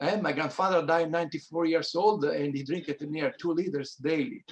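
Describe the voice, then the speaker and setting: With an Italian accent, a high-pitched man speaks at a moderate pace with ordinary pitch variation. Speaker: wine grower. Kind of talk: panel discussion. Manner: halting.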